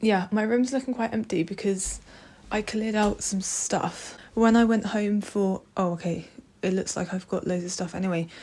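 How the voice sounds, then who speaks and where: A woman's dark, mellow, somewhat breathy voice at a medium pitch and a moderate pace. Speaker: student vlogger. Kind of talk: casual chat. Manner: animated.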